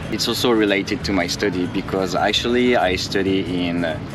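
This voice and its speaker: A man with a French accent speaks in a very deep, low pitch. His intonation is fairly even, with music in the background. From France. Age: 20s. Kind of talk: interview answer. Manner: polite.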